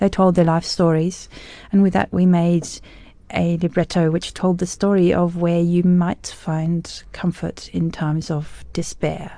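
Speaking with an Australian accent, a woman talks at a fairly slow pace. Her voice is fairly low, with a dark, mellow tone. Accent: Australian-tinged English. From South Africa, raised in Australia (Brisbane). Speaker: music critic and arts organization founder. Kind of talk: radio interview. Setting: studio. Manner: animated.

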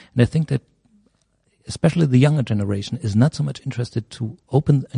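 With a German accent, a man talks at a fairly quick pace in a dark, mellow, somewhat breathy tone with ordinary pitch variation, the sound dry and close with no echo. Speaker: media professor. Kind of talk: interview.

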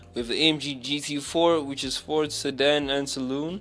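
A man with a fairly high pitch at a fairly slow pace, music playing in the background. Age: 20s. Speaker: radio DJ. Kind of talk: casual radio talk show.

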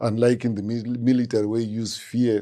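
A man with a Zimbabwean accent talks at a fairly quick pace in a dark, mellow tone against a quiet background. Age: 50s. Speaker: music producer and guitarist. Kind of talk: interview conversation.

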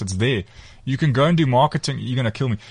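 A somewhat breathy male voice of medium pitch with ordinary pitch variation. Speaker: real estate business owner. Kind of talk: radio studio interview. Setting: studio.

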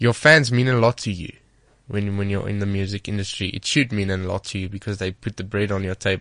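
A man talks with a South African accent. His pitch is fairly low and his pace fairly quick. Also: fairly even intonation, quiet background. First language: Afrikaans. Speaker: singer. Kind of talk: interview. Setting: studio. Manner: halting.

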